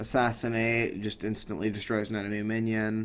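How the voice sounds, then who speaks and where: At a moderate pace, a man talks in a fairly low voice with monotone, flat intonation. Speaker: gaming YouTuber. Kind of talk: game tutorial. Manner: halting, stuttering; casual.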